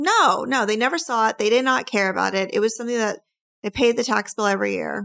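Speaking very fast in an excited, animated tone, a woman uses a fairly high pitch with ordinary pitch variation on a very clean recording with a silent background.

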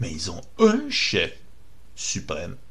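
Recorded with audible room echo and noticeable background noise, a man speaks in a Quebec accent. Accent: Québécois French. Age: 50s. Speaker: activist, online radio host. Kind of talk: monologue, political rant.

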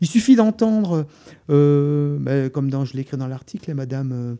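The man's voice has a dark, mellow tone. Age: 60s. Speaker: writer and poet. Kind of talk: radio interview. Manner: halting, many repetitions.

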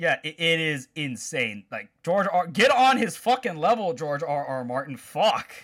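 A man with an American accent, high-pitched, with very wide pitch swings, a fairly slow pace and hardly any pauses. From Chicago, US Midwest. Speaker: podcast co-host. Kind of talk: casual chat.

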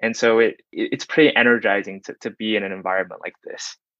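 The speaker has an unremarkable speaking voice and a fairly quick pace. The sound is dry and close, with no echo. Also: man. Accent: American. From Texas, Plano (Dallas suburb). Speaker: startup employee, former investment banker. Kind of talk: casual interview.

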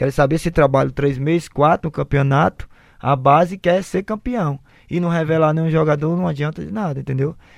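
Against a quiet background, a man speaks fairly quickly at a fairly high pitch with ordinary variation. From Fortaleza, Ceará, Brazil. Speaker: retired footballer. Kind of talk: interview. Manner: halting.

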